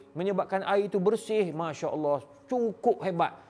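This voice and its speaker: The man talks at a moderate pace. For a man, his voice sits high. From Malaysia. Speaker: Islamic scholar, professor; professor. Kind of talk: address to audience. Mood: nostalgic, sorrowful. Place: studio. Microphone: lapel.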